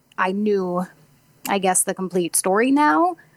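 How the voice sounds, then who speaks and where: Recorded dry and close with no echo, a woman with an American accent has a normal speaking voice, medium pitch and lively intonation. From Missouri (Farmington), US Midwest. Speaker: actress. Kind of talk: interview. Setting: remote call over Discord.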